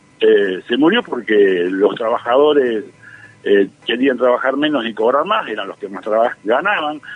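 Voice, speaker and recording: A man speaks at a fairly slow pace, his loudness swinging widely. Noticeable background noise is present. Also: medium pitch for a man, lively intonation. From Argentina, Santa Fe province. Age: 60s. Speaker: economist and professor. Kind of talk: radio interview. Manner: hesitant, many fillers and repetitions.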